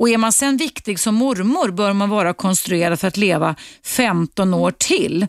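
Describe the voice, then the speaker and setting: A woman with a normal speaking voice at medium pitch talks at a fairly slow pace with lively intonation and very even loudness, in a dry, close sound with no echo. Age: 50s. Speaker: radio host. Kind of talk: call-in talk show. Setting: studio.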